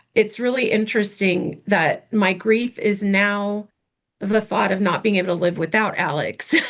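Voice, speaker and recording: Using a put-on character voice, a woman sounds raspy at a medium pitch, keeping a moderate pace and fairly even intonation. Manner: sincere, heartfelt.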